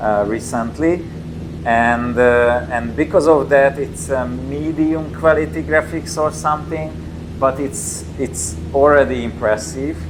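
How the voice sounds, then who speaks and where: A man with a Hungarian accent and medium pitch talks at a fairly slow pace with very wide pitch swings, amid audible room echo and noticeable background noise. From Hungary, Tatabánya. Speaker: company representative demoing a motion simulator. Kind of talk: gameplay demo commentary. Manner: halting, many fillers and repetitions.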